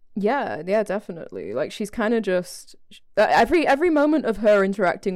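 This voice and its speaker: This woman has an ordinary speaking voice, medium in pitch, with lively intonation. She talks at a fairly quick pace in a very clean recording with a silent background. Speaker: podcast co-host. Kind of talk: casual chat.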